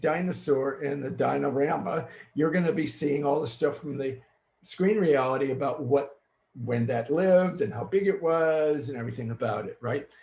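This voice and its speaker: This man's voice is fairly high and somewhat breathy, with an American accent. He speaks at a moderate pace. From US Midwest, Chicago. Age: 70s. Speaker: futurist and keynote speaker. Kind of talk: virtual keynote presentation. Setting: home green screen studio, recorded online.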